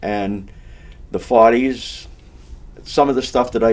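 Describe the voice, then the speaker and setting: Fairly low-pitched man's voice in an eastern Massachusetts accent, with ordinary pitch variation. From Massachusetts, Amesbury area. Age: 70s. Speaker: local elder and amateur singer. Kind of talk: casual interview. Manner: halting, self-correcting.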